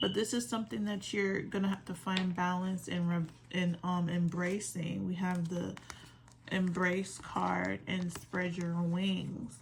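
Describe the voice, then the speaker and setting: Against noticeable background noise, a woman with fairly low pitch speaks at a fairly slow pace. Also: fairly even intonation. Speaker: tarot reader. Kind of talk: tarot reading. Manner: relaxed.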